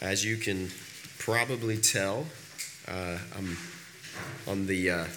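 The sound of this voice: Over audible room echo, a man speaks slowly in a low pitch with fairly even intonation and a bright, sharp tone.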